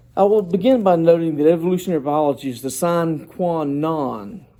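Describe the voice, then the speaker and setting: The voice has a dark, mellow tone and a Southern US accent, moving at a moderate pace. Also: man. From US South, South Georgia. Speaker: doctoral student presenting dissertation proposal. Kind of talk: academic presentation. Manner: formal.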